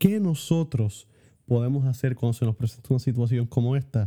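This man has a medium-pitched, somewhat breathy voice with a dark, mellow tone. The sound is dry and close, with no echo. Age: 20s. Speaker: theology student. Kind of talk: casual chat.

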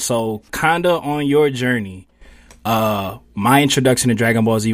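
On a very clean recording with a silent background, a man with an American accent talks at a fairly slow pace in an ordinary speaking voice, with medium pitch and ordinary pitch variation. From Philadelphia, US. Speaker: podcast co-host. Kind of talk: casual chat.

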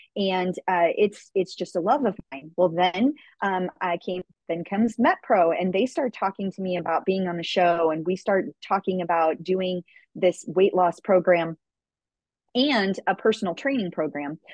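The woman has an ordinary speaking voice. Her pace is moderate and her pitch variation ordinary. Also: medium pitch for a woman. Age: 40s. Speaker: fitness and nutrition coach, podcast host. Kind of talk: interview.

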